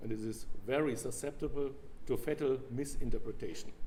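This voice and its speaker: Speaking at a moderate pace with a German accent, a man uses a dark, mellow, somewhat breathy tone and ordinary pitch variation amid audible room echo. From Germany. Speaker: biologist lecturer. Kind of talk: lecture. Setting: convention stage with audience.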